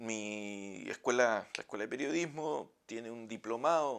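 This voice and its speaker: A man with a Chilean accent speaks at a medium pitch with lively intonation. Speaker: professor. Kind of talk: lecture. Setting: office.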